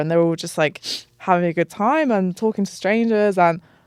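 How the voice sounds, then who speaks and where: Here a woman speaks with an English accent at a fairly quick pace. The recording is very clean, with a silent background. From southern England. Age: 30s. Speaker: travel content creator. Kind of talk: casual chat. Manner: casual, filler-heavy.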